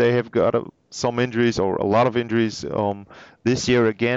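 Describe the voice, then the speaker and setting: A man speaks with a German accent at a medium pitch. He keeps a moderate pace. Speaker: hockey podcast host. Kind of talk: casual interview. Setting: remote call.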